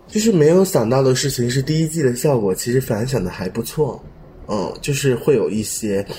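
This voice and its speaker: Speaking at a moderate pace with lively intonation, a man with a medium-pitched voice is heard against noticeable background noise. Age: young. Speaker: fashion designer. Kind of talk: casual chat.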